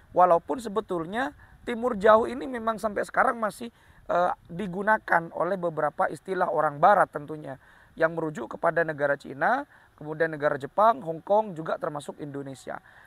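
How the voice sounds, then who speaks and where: There is no echo, and the sound is close and dry. Lively intonation marks the delivery. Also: man, high pitch for a man, fairly quick pace. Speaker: history explainer video host. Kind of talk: informal educational talk. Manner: hesitant with fillers.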